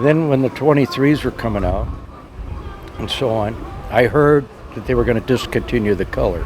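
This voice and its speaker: Speaking at a fairly quick pace with long, frequent pauses, a man with an American accent is heard over noticeable background noise. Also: medium pitch for a man, ordinary pitch variation. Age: 80s+. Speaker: car owner. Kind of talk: casual interview.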